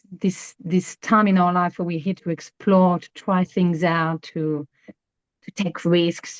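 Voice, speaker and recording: Someone with a French accent speaks at a moderate pace, the sound dry and close with no echo. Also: woman. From France. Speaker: astrologer. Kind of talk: interview. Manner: hesitant, many fillers and repeats.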